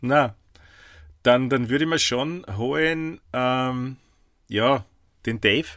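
Very slow speech from a man at medium pitch, with ordinary pitch variation and long, frequent pauses. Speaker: podcast co-host. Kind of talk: casual chat.

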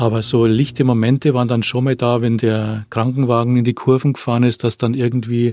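A man with a normal speaking voice, medium pitch, fairly even intonation, and moderate pace, in a very clean recording with a silent background and a dry, close sound with no echo. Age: 50s. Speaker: attack survivor. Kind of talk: testimony. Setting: studio.

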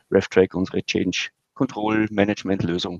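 A man with a Viennese accent at a moderate pace, his intonation fairly even. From Austria, Vienna. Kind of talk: interview.

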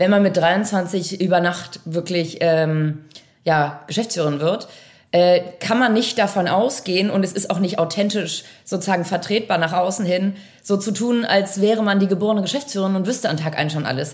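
A woman speaks in an unremarkable speaking voice at a moderate pace. Her pitch is medium and varies in an ordinary way. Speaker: managing director of a family software company. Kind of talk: interview.

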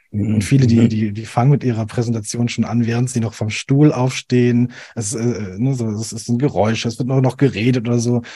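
The man's voice is somewhat breathy and monotone, with flat intonation. His pace is fairly quick. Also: medium pitch for a man. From Swabian Alb, Germany. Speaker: animation video designer. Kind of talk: casual interview. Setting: video call.

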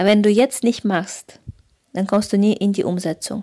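A woman talks very slowly in a Russian accent. Her pitch is medium, with ordinary pitch variation. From Kazakhstan. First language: Russian (speaking German). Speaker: photographer and business coach. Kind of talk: solo podcast monologue.

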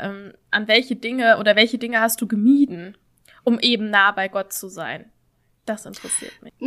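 Her voice is fairly high, with a bright, sharp tone and fairly even intonation. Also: moderate pace, big swings in loudness. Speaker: podcast co-host. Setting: video call.

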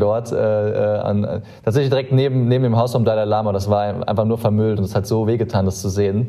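Amid audible room echo, a man speaks at a medium pitch with fairly even intonation. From Germany, Saarland. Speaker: startup co-founder. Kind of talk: interview conversation. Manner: hesitant, many filler sounds.

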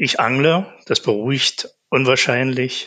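Against a quiet background, a man at medium pitch speaks with a bright, sharp tone. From eastern Germany, Saxony-Anhalt and Thuringia. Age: 60s. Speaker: asthma patient. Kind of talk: interview.

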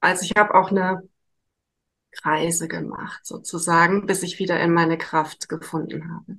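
This woman's fairly low voice moves at a moderate pace in a monotone, flat intonation. Her loudness swings widely. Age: 50s. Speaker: psychotherapy practitioner. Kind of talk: interview.

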